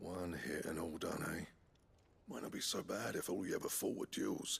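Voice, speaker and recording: A man puts on a raspy character voice. He delivers it at a moderate pace. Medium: video game. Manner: casual, folksy.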